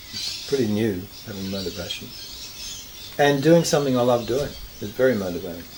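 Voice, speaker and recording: Amid noticeable background noise and audible room echo, a man with an Australian accent talks at a fairly quick pace with lively intonation and long, frequent pauses. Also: medium pitch for a man. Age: 60s. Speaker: counsellor. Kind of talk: interview.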